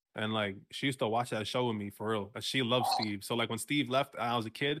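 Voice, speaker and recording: A man talks at a very fast pace in a medium pitch. His intonation stays fairly even. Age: 20s. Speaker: podcast co-host. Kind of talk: casual chat. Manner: loud.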